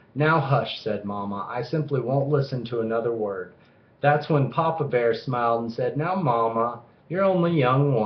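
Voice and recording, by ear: A passage is being read aloud in a natural voice.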